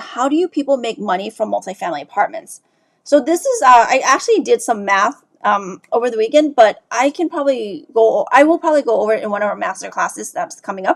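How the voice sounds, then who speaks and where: The speech moves at a very fast pace with lively intonation. There is vocal fry throughout. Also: woman. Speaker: real estate investor. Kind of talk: live Q&A stream.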